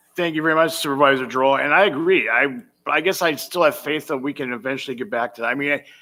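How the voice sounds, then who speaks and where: Very fast speech in an American accent, bright and sharp in tone, with ordinary pitch variation. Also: man, fairly high pitch for a man, very clean recording, silent background. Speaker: county board chair. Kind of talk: public meeting debate.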